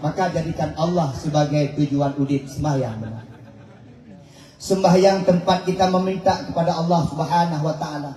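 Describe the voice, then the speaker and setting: Noticeable background noise and audible room echo fill the recording. A man talks at a moderate pace and a fairly high pitch, with fairly even intonation. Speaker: Islamic preacher. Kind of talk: sermon.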